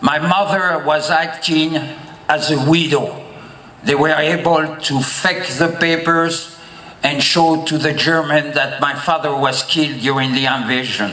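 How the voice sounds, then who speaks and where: Amid noticeable background noise and audible room echo, a man with a fairly high pitch speaks at a fairly slow pace, his intonation fairly even and his loudness very even. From France (Paris, Normandy). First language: French. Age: 70s. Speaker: public speaker, D-Day remembrance advocate. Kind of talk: public speech.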